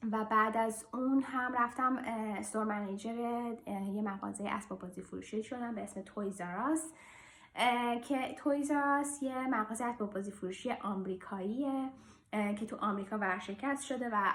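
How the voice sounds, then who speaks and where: A woman with a fairly high voice talks at a moderate rate, her pitch varying in an ordinary way. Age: 30s. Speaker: vlogger, airline flight control manager. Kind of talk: casual personal vlog. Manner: hesitant with fillers.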